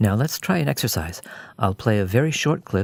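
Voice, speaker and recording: Over a silent background on a very clean recording, a man with a North American accent and a fairly low voice makes very wide pitch swings. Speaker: English pronunciation teacher. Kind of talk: pronunciation lesson narration.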